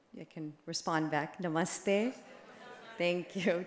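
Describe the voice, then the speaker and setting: An American woman has an unremarkable speaking voice at a medium pitch. She talks at a fairly slow pace with fairly even intonation. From United States. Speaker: advocacy group director, conference speaker. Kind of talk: conference speech. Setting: conference stage with audience.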